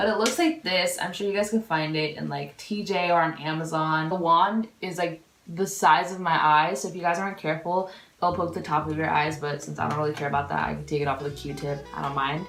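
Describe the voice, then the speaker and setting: A woman speaks at a fairly low pitch and fairly quick pace with ordinary pitch variation. Audible room echo and noticeable background noise surround her. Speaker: beauty vlogger. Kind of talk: casual chat. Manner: animated.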